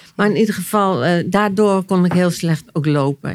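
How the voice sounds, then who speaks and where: This woman's pitch shows ordinary variation. She moves through her words at a fairly slow pace. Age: 60s. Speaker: therapist and author. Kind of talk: personal testimony in interview. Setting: at her home. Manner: halting, repeating words.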